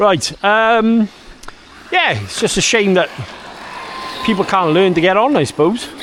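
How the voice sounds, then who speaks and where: Talking at a moderate pace, a man is heard against noticeable background noise. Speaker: RC hobby YouTuber. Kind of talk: casual vlog monologue. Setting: outdoors in a park. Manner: loud; hesitant, filler-heavy.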